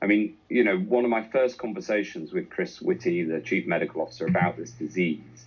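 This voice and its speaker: With vocal fry in his voice, a man speaks in very wide pitch swings. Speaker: government health minister. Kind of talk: radio interview answer.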